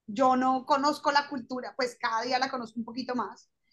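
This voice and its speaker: A woman projects a raised, high-pitched voice in a bright, sharp tone with monotone, flat intonation. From Colombia. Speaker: lawyer turned fashion designer. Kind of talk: interview.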